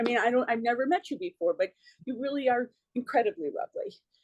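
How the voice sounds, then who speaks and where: A woman with lively intonation at a fairly quick pace, in a dry, close sound with no echo. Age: 60s. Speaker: academic, autoethnographer. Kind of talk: audience comment after keynote. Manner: halting.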